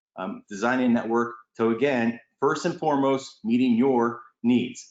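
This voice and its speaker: A man at a medium pitch with ordinary pitch variation. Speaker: panelist on broadband industry webinar. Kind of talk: webinar presentation. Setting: online webinar. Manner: fast.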